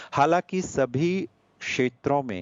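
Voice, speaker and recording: A man is speaking. He has a Gujarati accent. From India, Anuppur, Madhya Pradesh. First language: Gujarati (speaking Hindi). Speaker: poet. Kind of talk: interview.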